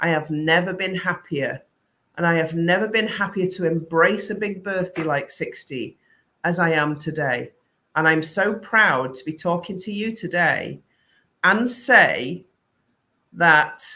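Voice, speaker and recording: In a British accent, the speaker's bright, sharp tone is broken up by long, frequent pauses. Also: woman. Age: 50s. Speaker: creative business coach. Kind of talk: live stream talk to viewers. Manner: animated.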